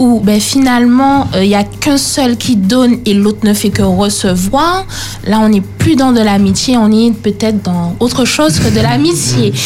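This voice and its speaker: Noticeable background noise accompanies a woman talking at a fairly slow pace. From Martinique, Le Robert. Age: young. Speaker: youth panelist. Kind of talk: radio panel discussion.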